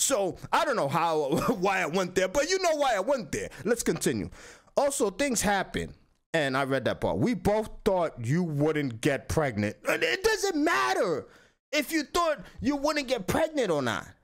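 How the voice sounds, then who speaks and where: This man speaks with a strong Dominican accent in a high pitch, his tone animated and his pitch swinging very widely at a fairly slow pace. His loudness stays very even over a quiet background. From Dominican Republic. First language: Spanish. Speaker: YouTube commentator. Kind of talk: reaction commentary. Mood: critical, opinionated. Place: home room.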